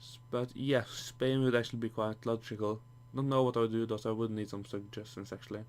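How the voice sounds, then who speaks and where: Talking at a very fast pace, a man with a Norwegian accent keeps a medium pitch and monotone, flat intonation in a very clean recording with a silent background. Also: big swings in loudness. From Norway. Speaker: gaming YouTuber. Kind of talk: gameplay commentary. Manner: halting, many false starts; casual, rambling.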